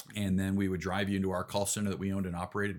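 The recording is very clean and the background silent. A man talks in an American accent. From US Midwest, Chicago suburbs (Elgin, Illinois). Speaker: ecommerce executive. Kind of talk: casual interview.

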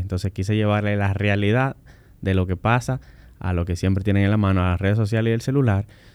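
A man with a plain, everyday voice, fairly low in pitch, at a fairly quick pace with fairly even intonation. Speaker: civil engineer and road safety expert. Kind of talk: interview.

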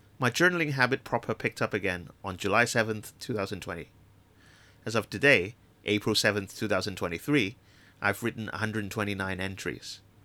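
On a very clean recording with a silent background, a man with a Chinese accent speaks at a fairly quick pace in a fairly low pitch, with a bright, sharp tone and ordinary pitch variation. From Hong Kong. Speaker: podcast host and communication designer. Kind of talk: reading aloud of own essay.

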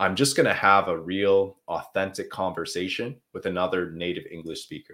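A man with a slight Canadian accent talks at a moderate pace in a very deep, low voice with ordinary pitch variation. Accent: slightly Canadian rather than American. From Canada (Quebec). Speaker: English teacher and livestream host. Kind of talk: live Q&A stream, casual. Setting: livestream. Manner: relaxed, conversational with many fillers.

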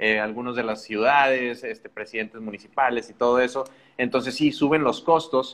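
A man talks with an ordinary speaking voice at a medium pitch. His intonation is fairly even and his pace moderate. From Mexico, Monterrey. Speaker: podcast host. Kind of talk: casual interview on a live stream.

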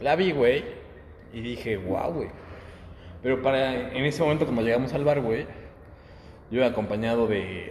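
A man with a medium pitch speaks at a moderate pace, leaving long, frequent pauses. Room echo is audible. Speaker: podcast co-host. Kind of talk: casual chat.

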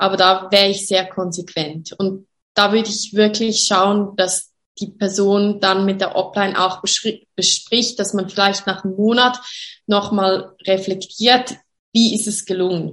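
In a flat monotone, a woman with a medium pitch speaks at a fairly slow pace. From Switzerland, Graubünden. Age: 30s. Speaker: network marketing distributor. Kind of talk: interview. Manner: hesitant, many fillers.

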